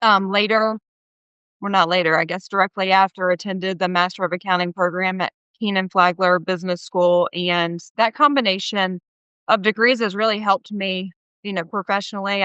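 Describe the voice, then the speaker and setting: A medium-pitched woman with a Southern US accent, at a moderate pace with fairly even intonation. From US South, small-town North Carolina. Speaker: company CFO. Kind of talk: interview.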